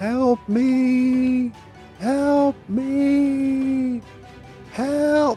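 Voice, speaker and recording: A put-on character voice with a high pitch plays over clear music in the background. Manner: desperate, pleading.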